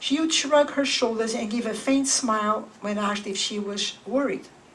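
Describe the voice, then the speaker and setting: A woman's fairly high voice at a moderate pace, with ordinary pitch variation, audible room echo and noticeable background noise. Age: 70s. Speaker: memoir author. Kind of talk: reading aloud. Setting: bookstore with live audience.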